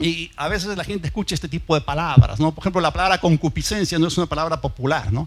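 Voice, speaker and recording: A man with vocal fry and a fairly high pitch, ordinary pitch variation, at a very fast pace. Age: 60s. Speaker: pastor. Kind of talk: sermon.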